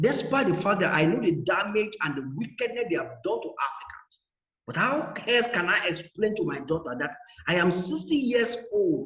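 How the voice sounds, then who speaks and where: Very wide pitch swings run through this moderately paced speech, with audible echo from the room. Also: man, high pitch for a man. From Nigeria. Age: 60s. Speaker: guest speaker. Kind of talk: talk. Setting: video call. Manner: animated.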